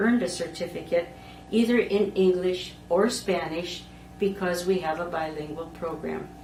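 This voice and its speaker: With a Wisconsin accent, a woman speaks at a medium pitch and a moderate pace with ordinary pitch variation, amid noticeable background noise and audible room echo. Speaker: lay ministry educator. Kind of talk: conference presentation. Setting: conference talk recording. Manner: formal.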